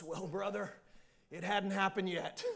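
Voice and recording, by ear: Putting on a gruff character voice, a man speaks at a high pitch and a moderate pace.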